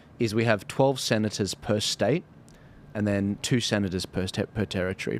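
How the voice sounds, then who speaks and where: A man speaks with an Australian accent at a fairly low pitch. His intonation stays fairly even. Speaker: podcast host. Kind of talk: political interview chat. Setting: studio.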